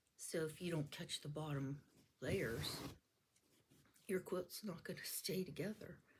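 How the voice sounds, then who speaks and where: Her pitch is very deep and low for a woman, and her voice is somewhat breathy. She speaks at a fairly slow pace, with ordinary pitch variation. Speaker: quilting teacher. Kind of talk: tutorial. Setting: home, camera in front of her.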